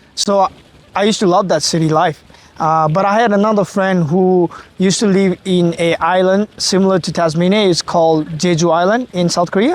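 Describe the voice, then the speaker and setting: A man with a Nepali accent talks at a moderate pace in a high pitch. His loudness stays very even and his intonation fairly even. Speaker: master's student. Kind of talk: casual chat.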